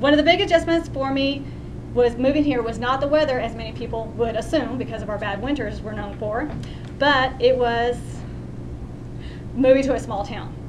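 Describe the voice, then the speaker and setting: A woman with a Texan accent speaks at a moderate pace, her high pitch showing ordinary variation and big swings in loudness. Long, frequent pauses break up her speech amid noticeable background noise and audible room echo. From West Texas (Odessa). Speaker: student. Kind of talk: class speech.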